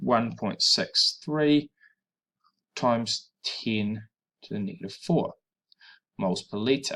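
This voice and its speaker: The speaker has a New Zealand accent and talks at a very slow pace. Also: man. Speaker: high school chemistry teacher. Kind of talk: tutorial.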